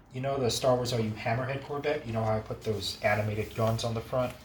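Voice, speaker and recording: With a plain, everyday voice, a man speaks at a medium pitch and a fairly quick pace with ordinary pitch variation. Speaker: game modding tutor. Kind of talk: tutorial.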